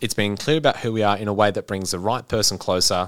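Speaking at a very fast pace, a man uses ordinary pitch variation. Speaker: podcast co-host. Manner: reads aloud with passion.

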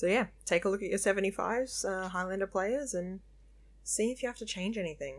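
A woman of medium pitch speaks at a fairly quick pace. Her pitch varies in an ordinary way. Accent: Australian. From Melbourne, Australia. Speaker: podcast host and card game judge. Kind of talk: casual chat podcast discussion.

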